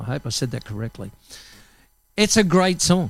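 This man, with an Australian accent, speaks in a high pitch. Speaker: radio host. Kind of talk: live radio presenting. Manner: casual, friendly.

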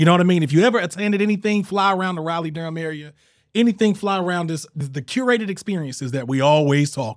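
A man with an American accent speaks in a high pitch at a very fast pace. The recording is very clean, with a silent background. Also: lively intonation. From eastern North Carolina. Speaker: podcast host. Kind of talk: casual chat. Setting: studio. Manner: animated.

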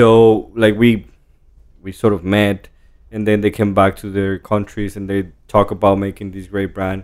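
A man with a Spanish accent speaks at a fairly slow pace in a fairly low pitch, his intonation monotone and flat while his loudness swings widely. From Jalisco, Mexico. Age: 30s. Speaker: tequila brand co-founder. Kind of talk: casual interview. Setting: in person.

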